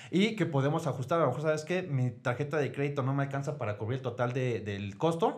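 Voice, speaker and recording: Very fast delivery comes with a somewhat breathy quality. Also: man, fairly high pitch for a man, ordinary pitch variation, hardly any pauses. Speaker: clinic administrative director. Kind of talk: casual chat.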